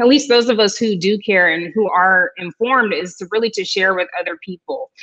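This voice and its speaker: At a fairly quick pace, a woman speaks with ordinary pitch variation against a quiet background. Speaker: physician and DJ; DJ. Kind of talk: panel discussion. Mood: earnest, measured. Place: home room. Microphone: video call.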